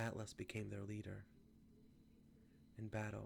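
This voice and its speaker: Soft-spoken and somewhat breathy, a man talks with fairly low pitch. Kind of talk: ASMR reading of a myth.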